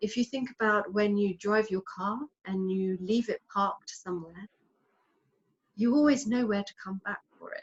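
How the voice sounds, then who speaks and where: A woman speaks at a moderate pace in a medium, somewhat breathy voice with ordinary pitch variation and big swings in loudness. The sound is dry and close, with no echo. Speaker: hypnotherapist. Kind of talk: interview. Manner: animated.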